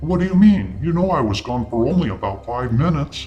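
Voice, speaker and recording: A man's put-on character voice, fairly high in pitch and fairly quick in pace, over clear music in the background. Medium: read story.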